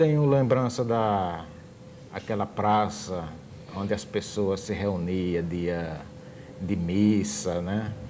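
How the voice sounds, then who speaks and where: A man speaks at a fairly low pitch and a very slow pace, with long, frequent pauses. Audible room echo is present. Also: ordinary pitch variation. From Brazil, Sergipe. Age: 50s. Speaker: musician and visual artist. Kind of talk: TV interview.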